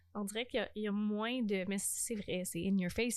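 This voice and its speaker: Using a Quebec accent, a woman speaks at a fairly quick pace in a medium pitch with monotone, flat intonation. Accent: Québécois French. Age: 20s. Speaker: podcast host. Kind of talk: casual chat. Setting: home recording at parents' house.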